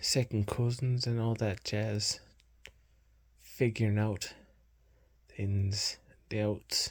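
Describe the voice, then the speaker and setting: Soft-spoken and somewhat breathy, the voice moves at a very slow pace in a flat monotone, on a very clean recording with a silent background. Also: man. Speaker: ASMR creator. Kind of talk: ASMR soft-spoken ramble. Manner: halting.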